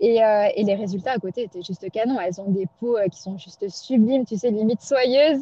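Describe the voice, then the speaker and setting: A woman's fairly high, somewhat breathy voice at a fairly quick pace, with ordinary pitch variation and hardly any pauses. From Pondicherry, India. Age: 30s. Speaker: cosmetics brand founder. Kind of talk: testimony.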